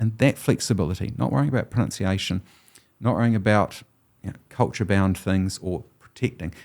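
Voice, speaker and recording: A man with a New Zealand accent talks at a fairly quick pace in a fairly low voice with ordinary pitch variation. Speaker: historian and professor. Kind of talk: interview conversation.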